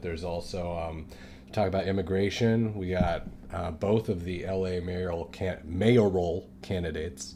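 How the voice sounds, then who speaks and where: A quiet man's voice, very deep and low in pitch, with a dark, mellow tone, fairly even intonation and audible room echo. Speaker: political commentary live streamer. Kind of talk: live stream commentary with jokes. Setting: studio apartment, late night. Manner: kept low, quiet.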